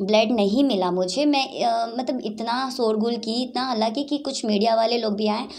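With hardly any pauses, a woman in an ordinary speaking voice talks fairly slowly at a fairly high pitch, her intonation fairly even. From Bihar, Saran (Chapra); Bihar. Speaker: weightlifter and yoga champion; yoga instructor. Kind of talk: interview. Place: home room. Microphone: handheld.

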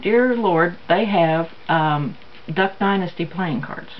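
With light noise behind her, a woman speaks with lively intonation. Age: 50s. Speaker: craft and shopping video creator. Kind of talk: casual haul vlog. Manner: casual with many fillers. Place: home room. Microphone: camera far.

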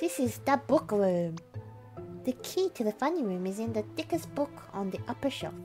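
Against clear music in the background, a woman talks at a moderate pace. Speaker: Twitch streamer. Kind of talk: casual gameplay commentary. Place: home room.

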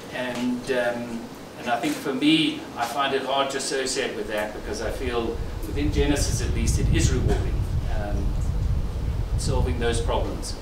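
A man talks at a moderate pace while noticeable background noise carries on behind him. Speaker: company executive. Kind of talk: celebration speech. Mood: reflective, earnest. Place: hall. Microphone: handheld.

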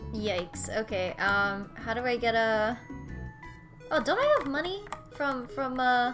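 A woman speaks in a high pitch. Music plays in the background. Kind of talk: casual gameplay commentary to camera.

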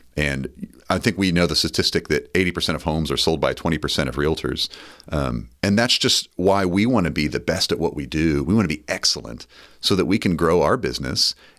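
With vocal fry and lively intonation, this voice moves at a moderate pace over a quiet background. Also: man, very deep, low pitch for a man. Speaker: real estate agent; podcast co-host. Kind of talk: casual chat. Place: studio. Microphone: studio mic.

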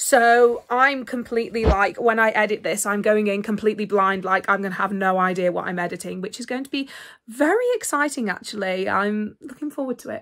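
A woman at a fairly quick pace with hardly any pauses, ordinary pitch variation and big swings in loudness. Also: quiet background. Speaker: vlogger. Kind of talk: casual vlog chat. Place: home room. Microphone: phone near.

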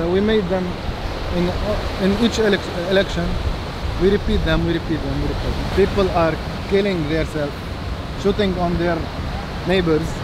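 A man speaks at a moderate pace with long, frequent pauses. The sound is dry with no echo, and the background noise is loud. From Lebanon. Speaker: local resident. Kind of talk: street interview. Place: beach. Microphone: phone near.

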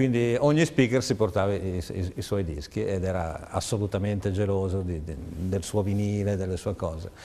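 A man's fairly low voice at a moderate pace, with ordinary pitch variation and hardly any pauses. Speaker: radio host, DJ, guest. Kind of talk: interview. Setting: studio. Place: studio. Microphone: lapel.

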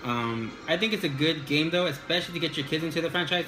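Against clear background music, a man with a fairly high pitch talks at a very fast pace. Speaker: gaming video creator. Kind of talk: casual talk to camera. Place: home room. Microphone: phone near.

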